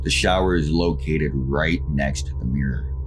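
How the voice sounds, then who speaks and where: A man with a very deep, low pitch talks while music plays behind him. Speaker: horror story narrator. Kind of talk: horror story narration, read aloud.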